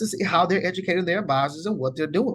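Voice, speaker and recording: In an American accent, a man with a high voice and a relaxed tone speaks with very wide pitch swings. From US rural area. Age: 40s. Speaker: financial advisor. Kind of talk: online course lecture. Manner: fast; relaxed, casual.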